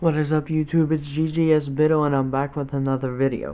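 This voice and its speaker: Speaking with an American accent, a man uses a fairly high pitch. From Ohio. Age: 20s. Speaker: YouTuber. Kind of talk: casual storytime vlog. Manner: halting, with many fillers.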